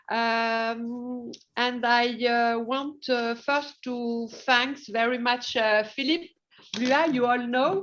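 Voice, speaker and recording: A high-voiced woman with a French accent, at a very slow pace and with fairly even intonation. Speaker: hospital deputy director. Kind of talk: presentation. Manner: halting.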